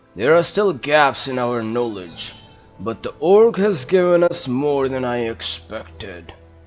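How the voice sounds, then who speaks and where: A man does a put-on character voice at a medium pitch and a fairly slow pace, with faint music in the background. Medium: game stream. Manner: measured, authoritative.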